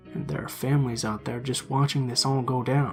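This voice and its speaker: Speaking at a fairly quick pace, a man with an American accent talks over music in the background. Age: 20s. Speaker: story narrator. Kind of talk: horror story narration, casual first-person storytelling. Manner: casual, conversational, slightly sarcastic.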